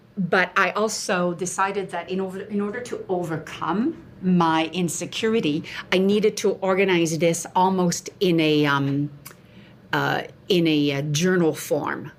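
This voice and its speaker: In a French accent, a woman speaks at a fairly low pitch. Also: ordinary pitch variation. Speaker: nutritionist and author. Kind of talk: interview.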